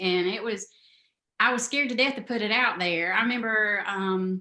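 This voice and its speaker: With a Southern US accent, a woman speaks fairly slowly at a fairly high pitch in a bright, sharp tone. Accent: Southern drawl. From US South, South Carolina. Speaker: novelist. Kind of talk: interview. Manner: halting.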